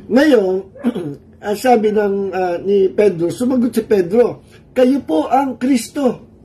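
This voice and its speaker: Over noticeable background noise, a man is talking. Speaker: pastor. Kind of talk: sermon. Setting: livestream from a cold room. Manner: Taglish, conversational.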